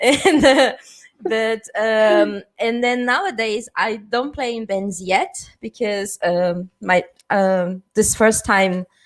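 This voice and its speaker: Very slowly, a woman with a Portuguese accent speaks at a fairly high pitch with ordinary pitch variation. The recording is very clean, with a silent background. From southern Brazil. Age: 30s. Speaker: panel moderator and punk festival organizer. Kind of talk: panel discussion.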